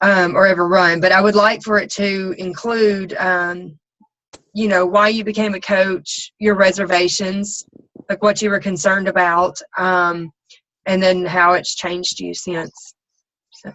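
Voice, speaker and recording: In a Southern US accent, a woman speaks at a medium pitch and fairly slow pace. Her intonation is monotone and flat. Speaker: team coach leading a group call. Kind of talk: casual group call briefing. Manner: hesitant, many ums and you knows.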